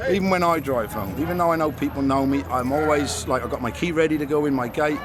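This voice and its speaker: With music in the background and audible room echo, a man speaks at a very fast pace in a fairly high pitch. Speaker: pub doorman. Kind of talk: interview. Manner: casual.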